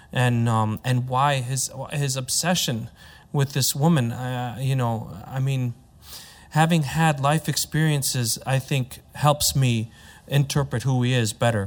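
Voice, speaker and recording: With a Midwestern accent, a man speaks at a medium pitch and a fairly slow pace, his intonation fairly even, on a very clean recording with a silent background. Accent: American, Midwest. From US, Chicago. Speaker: opera tenor. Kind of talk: panel discussion.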